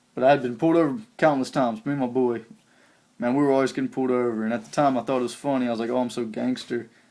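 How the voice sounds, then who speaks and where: A man with an American accent talks very fast at a medium pitch, his intonation fairly even and his tone dark and mellow. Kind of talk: testimony. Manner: halting.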